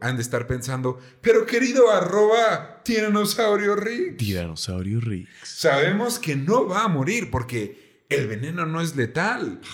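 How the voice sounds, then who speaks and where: With a Mexican accent, a man speaks fairly slowly and with hardly any pauses, high-pitched and animated, his pitch swinging very widely. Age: 20s. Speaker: podcast host. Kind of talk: casual storytelling chat.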